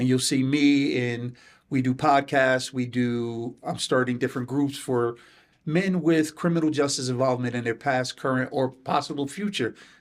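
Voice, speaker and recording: With an American accent, a man speaks at a moderate pace in an unremarkable speaking voice. His medium pitch carries fairly even intonation. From New Haven, Connecticut. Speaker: substance abuse counselor. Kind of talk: podcast interview.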